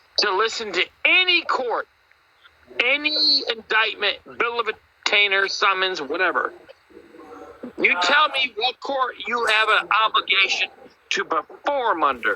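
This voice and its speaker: A man's raised, projected voice at an extremely high pitch, with very wide pitch swings and a fairly slow pace, dry and close with no echo, over noticeable background noise. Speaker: tiktok live streamer, sovereign-citizen style legal talk. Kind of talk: casual live stream chat. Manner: animated.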